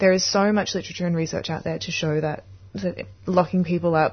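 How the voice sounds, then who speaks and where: A woman's somewhat breathy voice at a fairly low pitch. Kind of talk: radio presenter patter. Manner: warm, chatty, upbeat, with small stumbles and laughs.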